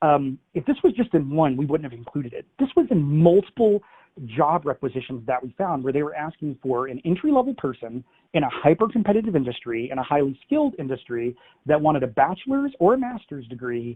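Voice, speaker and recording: In a plain, everyday voice, a man speaks at a fairly quick pace and a fairly high pitch, with lively intonation and big swings in loudness. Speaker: cybersecurity research analyst. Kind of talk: webinar presentation. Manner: conversational with many fillers.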